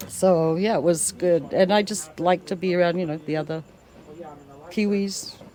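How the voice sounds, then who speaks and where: A woman speaks at a moderate pace with fairly low pitch and fairly even intonation, over noticeable background noise. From New Zealand, Ashburton. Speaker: rugby fan and volunteer. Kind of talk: casual interview chat.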